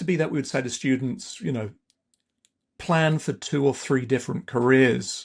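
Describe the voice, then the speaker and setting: A man with an English accent at a medium pitch, ordinary pitch variation and long, frequent pauses, over a quiet background. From southern England. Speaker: university AI institute director. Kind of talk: interview.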